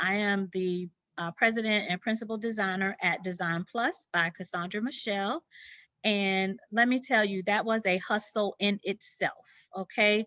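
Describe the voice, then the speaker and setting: The speaker has a Southern US accent. Intonation stays fairly even. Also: woman. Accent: Southern twang. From US South, Sumter, South Carolina. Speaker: interior designer. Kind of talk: presentation. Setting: video presentation from her studio. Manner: many fillers, halting.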